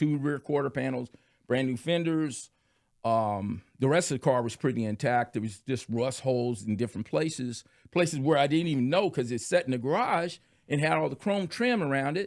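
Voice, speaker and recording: With an American accent and an ordinary speaking voice, a man of medium pitch uses lively intonation on a very clean recording with a silent background. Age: 60s. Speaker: podcast guest, car restorer. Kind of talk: casual chat.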